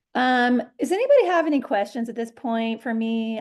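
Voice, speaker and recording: A woman speaks at a moderate pace in a normal speaking voice. Her pitch sits fairly high. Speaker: dream work teacher. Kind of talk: workshop talk.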